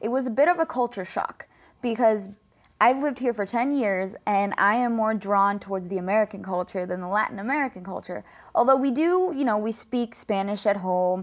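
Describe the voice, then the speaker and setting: A woman's unremarkable speaking voice, fairly high-pitched and fairly quick, with lively intonation, on a very clean recording with a silent background. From Colombia, raised in US from age 3. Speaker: student athlete, wrestler. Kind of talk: interview.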